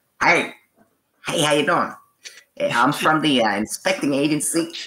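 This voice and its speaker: Someone performs a put-on character voice, raspy and low-to-middle in pitch, at a moderate pace. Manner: silly, chatty.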